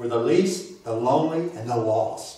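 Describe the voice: The speech comes at a fairly slow pace with ordinary pitch variation and strong room echo. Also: man.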